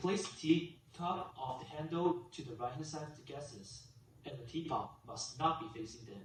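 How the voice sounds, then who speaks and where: This man speaks in a Chinese accent, his fairly high pitch carried by lively intonation. Audible room echo surrounds his voice. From China. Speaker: student. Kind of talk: class presentation speech.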